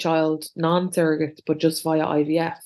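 A woman's fairly low voice in an Irish accent. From Ireland. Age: 40s. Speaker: podcast co-host. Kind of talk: casual chat.

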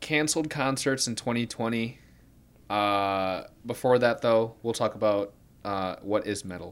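A man talks at a fairly slow pace at medium pitch, with ordinary pitch variation. It is an unremarkable speaking voice in a very clean recording with a silent background. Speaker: college radio podcast host. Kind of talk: casual chat. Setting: apartment bedroom.

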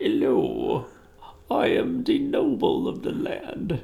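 A man uses a put-on character voice at an extremely high pitch. He goes at a very slow pace. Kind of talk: formal, elevated. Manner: pompous, haughty.

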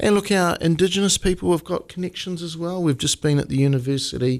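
Recorded very cleanly against a silent background, a man speaks with a New Zealand accent. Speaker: mayor. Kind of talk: interview. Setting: studio.

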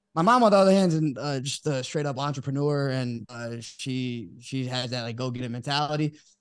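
Against a quiet background, a man with an American accent and an ordinary speaking voice talks at a medium pitch and a fairly quick pace, with ordinary pitch variation and hardly any pauses. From Texas (Dallas), Brazilian family. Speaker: sports podcaster. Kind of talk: casual chat. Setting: studio.

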